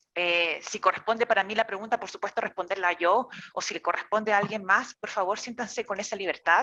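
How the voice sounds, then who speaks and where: Speaking at a fairly quick pace, a woman with a Chilean accent has a medium pitch, a bright, sharp tone, and fairly even intonation. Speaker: therapist and course teacher. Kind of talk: online lecture.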